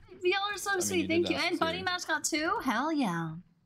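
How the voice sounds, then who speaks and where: Music plays behind a woman talking at a moderate pace. Her loudness stays very even. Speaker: streamer. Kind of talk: casual stream chat reading. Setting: gaming livestream. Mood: cheerful, sweet.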